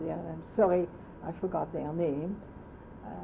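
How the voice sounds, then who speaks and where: Fairly quick speech with noticeable noise in the background. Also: woman. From France. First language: French. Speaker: oral history interviewee. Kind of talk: oral history interview. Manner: halting.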